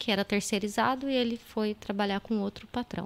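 Speech comes at a moderate pace with ordinary pitch variation on a very clean recording with a silent background. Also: woman. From Brazil, São Paulo state (São José dos Campos). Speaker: entrepreneur. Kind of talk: casual chat. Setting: live-streamed podcast studio.

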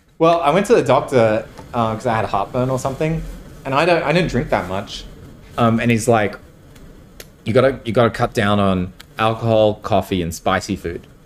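A man with an Australian accent speaks at a fairly quick pace and medium pitch, his intonation lively. He leaves long, frequent pauses. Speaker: tech startup co-founder. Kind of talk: casual interview.

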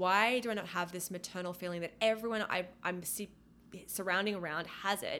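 Speaking in an Australian accent, a woman has a bright, sharp tone at a medium pitch. Her pace is moderate. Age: 30s. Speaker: podcast co-host. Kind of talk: casual chat.

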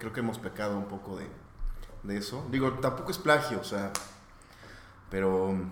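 A man with a Mexican accent talks at a moderate pace in a fairly low pitch, with ordinary pitch variation and long, frequent pauses. Noticeable background noise and audible room echo fill the recording. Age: 30s. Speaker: rock band member. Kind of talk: casual interview.

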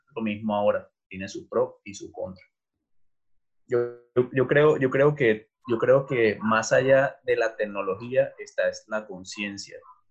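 Very slowly, a man speaks while his volume rises and falls in big swings. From Colombia. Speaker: design professor. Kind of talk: interview. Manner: halting.

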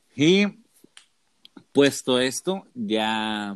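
A man's unremarkable speaking voice at medium pitch with ordinary pitch variation, on a very clean, silent-background recording with a dry, close sound and no echo. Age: 20s. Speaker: seminarian. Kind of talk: religious discussion.

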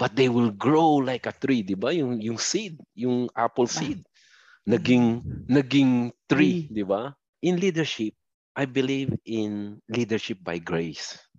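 In a dry, close sound with no echo, a man speaks very slowly at a medium pitch with lively intonation. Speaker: software support supervisor, overseas worker. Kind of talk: remote interview testimony.

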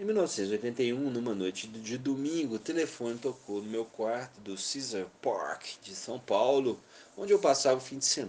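Big swings in loudness mark this man's speech, with lively intonation. His pitch is medium and his pace fairly slow. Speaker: music industry executive telling memoirs. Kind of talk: memoir narration.

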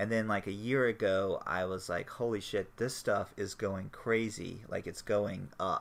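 An unremarkable speaking voice from a man with an American accent, fairly low in pitch, fairly slow, with fairly even intonation and hardly any pauses. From US South, Florida panhandle. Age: 40s. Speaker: podcast host. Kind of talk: casual chat.

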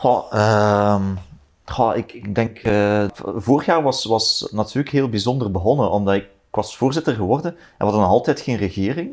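Very clean recording, silent background. A man with a Flemish accent speaks at a moderate pace and medium pitch with ordinary pitch variation. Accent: Flemish Dutch. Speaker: politician. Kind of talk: casual chat. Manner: halting.

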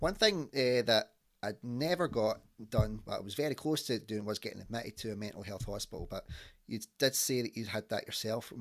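A man with a Scottish accent speaks at a medium pitch and a fairly quick pace, with ordinary pitch variation. The recording is very clean, with a silent background. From Scotland. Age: 30s. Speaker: podcast host. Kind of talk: casual chat. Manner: animated.

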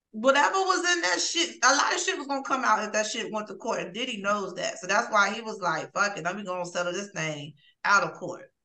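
A woman talks at a fairly quick pace with hardly any pauses. Her fairly high voice makes very wide pitch swings. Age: 40s. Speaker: podcast co-host guest. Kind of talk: casual banter, raunchy comedy chat.

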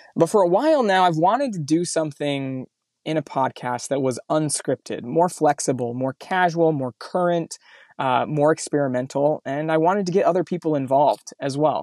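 A man's ordinary speaking voice, an ordinary speaking voice of fairly high pitch with ordinary pitch variation at a moderate pace, dry and close with no echo, on a very clean recording with a silent background. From Mountain West US (southern Utah, eastern Idaho). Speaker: podcast host. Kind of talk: solo podcast monologue; casual interview chat.

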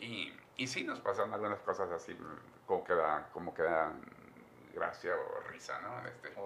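A man keeps a moderate speed, pausing long and often, with noticeable noise behind him. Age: 80s+. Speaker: priest. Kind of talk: interview. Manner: halting.

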